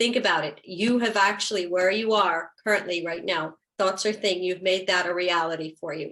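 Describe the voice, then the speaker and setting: A woman talks at a moderate pace with hardly any pauses. She has a plain, everyday voice at medium pitch. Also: fairly even intonation. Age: 60s. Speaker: real estate video host. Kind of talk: interview wrap-up, motivational talk.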